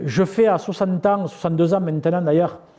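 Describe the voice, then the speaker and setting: Speaking at a moderate pace, a man has a high pitch with ordinary variation. His tone is dark and mellow. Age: 60s. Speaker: farm leader and entrepreneur. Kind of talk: interview. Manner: hesitant, many fillers and repetitions.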